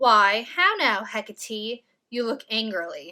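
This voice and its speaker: A woman performs a put-on character voice at a fairly high pitch. She speaks at a fairly slow pace. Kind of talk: Shakespearean verse reading. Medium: read story.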